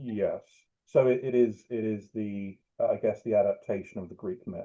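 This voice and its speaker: Here a man with a British accent speaks at a moderate pace. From UK. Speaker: writer. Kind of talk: interview answer.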